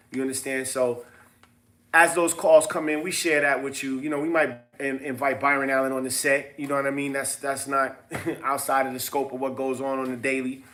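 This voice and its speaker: A man with a fairly high pitch talks at a fairly quick pace amid noticeable background noise. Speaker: business seminar host. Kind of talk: casual livestream seminar talk. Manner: fast; animated.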